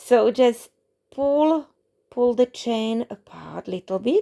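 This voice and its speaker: The speech has a non-native accent and lively intonation. The sound is dry and close, with no echo. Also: woman. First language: not English. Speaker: crochet tutorial creator. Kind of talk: tutorial. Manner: halting.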